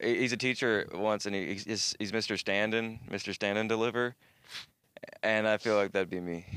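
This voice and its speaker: A man speaks at a moderate pace in a fairly low voice. His intonation stays flat and monotone. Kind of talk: casual chat. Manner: joking, rambling.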